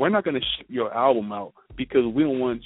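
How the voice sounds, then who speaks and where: Delivered at a fairly quick pace with lively intonation, it is an unremarkable speaking voice. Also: man. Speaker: radio co-host. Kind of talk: casual chat.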